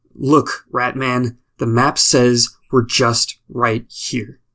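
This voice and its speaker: A man speaks in a put-on character voice at a medium pitch. His raspy delivery moves at a very slow pace. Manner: even, flat.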